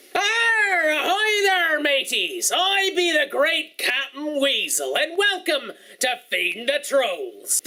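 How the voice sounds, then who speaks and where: Delivered in a put-on character voice, the speech comes at a fairly slow pace with an extremely high pitch and hardly any pauses. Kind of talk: pirate speech. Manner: playful.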